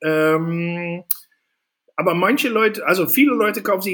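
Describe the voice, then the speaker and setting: Lively intonation runs through a man's high-pitched voice. He speaks at a moderate pace. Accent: Dutch. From Netherlands. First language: Dutch (speaking German). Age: 40s. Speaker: safety equipment entrepreneur. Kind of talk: casual interview.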